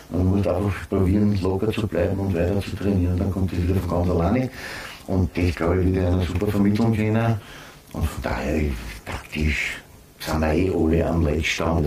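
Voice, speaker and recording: Against noticeable background noise, a man with a very deep, low pitch speaks at a fairly quick pace. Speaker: former footballer and football pundit. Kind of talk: casual chat.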